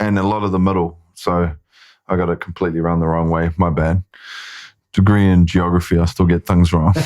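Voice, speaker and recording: In a New Zealand accent, a man speaks with a very deep, low pitch and a monotone, flat intonation. His pace is fairly quick, and the recording is very clean with a silent background. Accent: New Zealand accent, noticeable to Americans. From New Zealand, Māori. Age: 30s. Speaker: filmmaker and actor. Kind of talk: casual chat.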